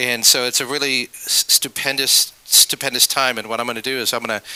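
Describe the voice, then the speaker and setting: This man's voice comes across with a dry, close sound and no echo. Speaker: arts project organizer. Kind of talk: presentation to live audience. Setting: gallery event with audience, microphone. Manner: loud; repetitive, stammering restarts.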